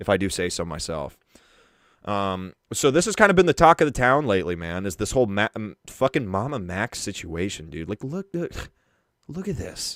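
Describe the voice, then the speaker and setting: The sound is dry and close with no echo. A man speaks in an animated tone with very wide pitch swings. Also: very clean recording, silent background. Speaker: live streamer, internet drama commentator. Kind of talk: live stream commentary.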